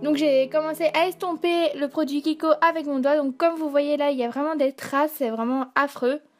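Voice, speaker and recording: A woman speaks at a moderate pace with hardly any pauses and a high pitch. Her intonation is fairly even, with music in the background. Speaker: beauty vlogger. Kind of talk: makeup tutorial voice-over. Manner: hesitant, many fillers.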